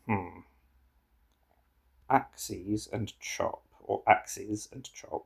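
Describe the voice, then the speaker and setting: A man speaks at a very slow pace. His long pauses come frequently. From England. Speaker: puzzle game streamer. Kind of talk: casual solo commentary while playing a word puzzle. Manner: thinking aloud, halting.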